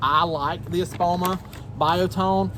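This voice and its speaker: With noticeable noise behind him, a man talks in a fairly high pitch that swings very widely. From US South. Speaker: gardening YouTuber. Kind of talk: tutorial. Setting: outdoors in the garden. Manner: halting, many fillers; casual.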